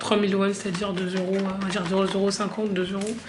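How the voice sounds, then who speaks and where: There is noticeable background noise and audible room echo. A woman at medium pitch speaks at a fairly quick pace. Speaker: vlogger, graphic designer. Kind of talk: travel vlog, casual talk to camera. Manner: casual, many fillers.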